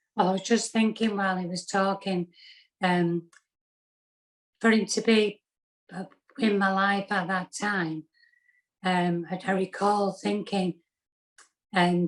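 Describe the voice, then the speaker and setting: A woman in a monotone, flat intonation at a fairly slow pace, with long, frequent pauses. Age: 60s. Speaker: pulmonary hypertension patient. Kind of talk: testimony. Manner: halting.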